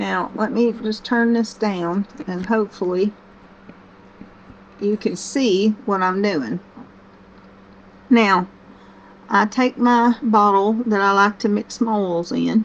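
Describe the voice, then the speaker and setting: A woman with a Southern US accent speaks at a medium pitch and a very slow pace. Her intonation stays fairly even, broken by long, frequent pauses. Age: 60s. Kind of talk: casual talk to camera. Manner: slow-paced, gentle.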